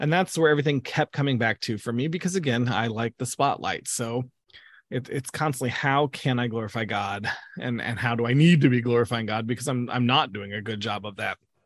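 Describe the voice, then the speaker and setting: An American man with an unremarkable speaking voice talks at a fairly quick pace. His pitch is medium with ordinary variation, in a dry, close sound with no echo. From US Midwest, Southern Illinois. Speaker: youth camp director. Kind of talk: interview testimony.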